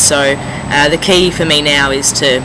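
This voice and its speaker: A man's voice over noticeable background noise. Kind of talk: casual talk to camera.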